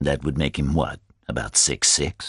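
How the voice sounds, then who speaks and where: A man uses a put-on character voice with a very deep, low pitch, speaking at a moderate pace in a dry, close sound with no echo. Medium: read story. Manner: measured, courteous.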